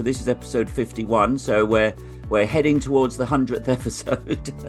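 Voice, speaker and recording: Lively intonation marks a man's voice, with music playing in the background. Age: old. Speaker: podcast host. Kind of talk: podcast interview.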